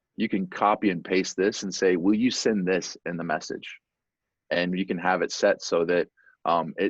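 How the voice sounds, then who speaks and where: Against a quiet background, a man with a very deep, low voice speaks at a moderate pace in a monotone, flat intonation, the sound dry and close with no echo. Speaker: software company presenter. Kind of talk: webinar presentation. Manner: many fillers and repetitions.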